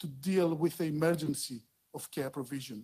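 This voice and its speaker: The speaker has a Greek accent and talks at a moderate pace. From Greece. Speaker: dental public health expert. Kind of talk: conference talk. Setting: conference panel. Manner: halting.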